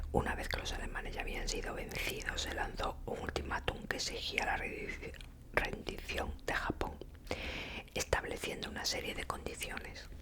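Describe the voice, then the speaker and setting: A woman is whispering at a fairly slow pace. Noticeable background noise sits behind her. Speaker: ASMR creator. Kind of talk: ASMR book reading, whispered. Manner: whispered, soft-spoken.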